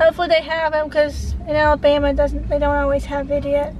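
Light background noise can be heard. The sound is dry with no echo. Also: woman. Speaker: vlogger. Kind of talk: casual vlog chat. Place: car. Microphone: phone near.

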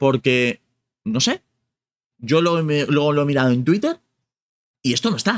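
A man's fairly high pitch makes very wide swings as he talks at a moderate pace. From Spain. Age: 30s. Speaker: gaming youtuber. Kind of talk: casual vlog commentary. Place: home room.

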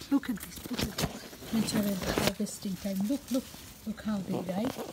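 A woman speaks with a Bengali accent. Noticeable background noise runs behind her. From Bangladesh. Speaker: gardening and cooking vlogger. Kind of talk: garden vlog narration. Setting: outdoors. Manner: animated. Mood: cheerful, enthusiastic. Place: garden. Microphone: phone near.

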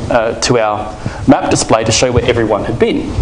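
Over noticeable background noise, the speech comes at a very fast pace. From Australia. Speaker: conference speaker, software developer. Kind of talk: conference talk. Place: hall. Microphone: podium.

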